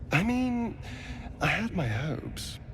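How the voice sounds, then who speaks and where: A female-sounding voice puts on a character voice at a fairly high pitch, with loud background noise behind it. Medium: video game. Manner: sly, drawling, haughty.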